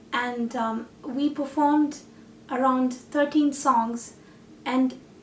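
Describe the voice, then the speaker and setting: A woman speaks in a Tamil accent with a high pitch. Her intonation is monotone and flat. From India and Malaysia. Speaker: singer-songwriter and artist. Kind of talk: reflective talk about a project.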